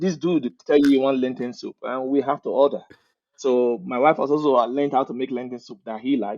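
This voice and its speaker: A man with a Nigerian accent speaks at a fairly quick pace in a medium pitch. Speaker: technical recruiter, immigrant. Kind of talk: casual interview chat. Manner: animated.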